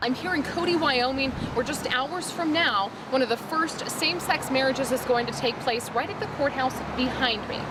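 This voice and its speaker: A woman's high voice with an American accent, moderate pace, hardly any pauses and ordinary pitch variation against noticeable background noise. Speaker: TV news anchor and reporter. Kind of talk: on-location field reporter delivery.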